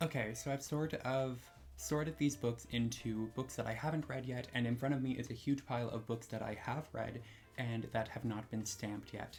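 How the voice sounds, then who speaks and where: Soft-spoken and medium in pitch, a man talks at a moderate pace with ordinary pitch variation. Music plays in the background. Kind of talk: casual talk to camera. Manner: low energy.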